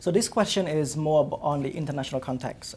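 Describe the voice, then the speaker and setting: A man speaks fairly quickly in a dark, mellow, somewhat breathy tone. His voice is fairly high, with ordinary pitch variation. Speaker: journalist. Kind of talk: interviewer questions.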